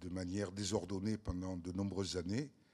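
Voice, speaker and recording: A man speaks with a fairly low pitch. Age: 60s. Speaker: author and freemason. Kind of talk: talk at round table.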